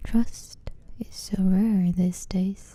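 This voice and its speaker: Dark, mellow and somewhat breathy, with monotone, flat intonation. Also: woman. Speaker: ASMR channel host. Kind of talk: ASMR book reading.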